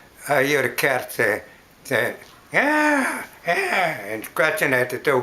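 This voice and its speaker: Fairly high-pitched male voice at a fairly slow pace, with noticeable background noise. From US South. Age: 80s+. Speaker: elderly interviewee. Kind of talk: oral history interview. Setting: at home. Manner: halting.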